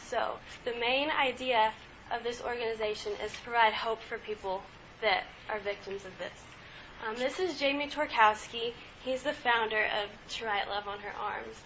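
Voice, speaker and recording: A woman's fairly high voice with long, frequent pauses, against noticeable background noise. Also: ordinary pitch variation, moderate pace. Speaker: student presenter. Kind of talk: student presentation.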